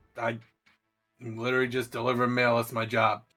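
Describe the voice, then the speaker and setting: A raspy put-on character voice from a man, medium in pitch, monotone and flat, at a very fast pace, with music in the background. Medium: actual play. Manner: naive, earnest, literal.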